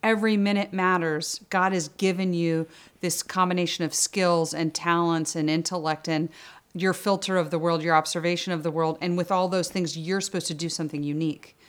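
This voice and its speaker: Speaking at a fairly quick pace, a woman with an American accent uses a monotone, flat intonation at a fairly low pitch, on a very clean recording with a silent background. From US, Northern Virginia. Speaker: economics professor. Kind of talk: interview.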